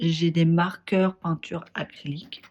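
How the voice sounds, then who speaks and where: A woman's somewhat breathy voice moves along at a fairly slow speed. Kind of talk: casual craft video talk to camera.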